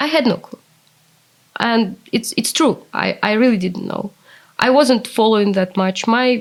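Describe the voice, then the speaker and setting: With a Russian accent, a woman speaks at a fairly slow pace in a fairly high voice, using ordinary pitch variation and long, frequent pauses. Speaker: translator. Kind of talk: interview.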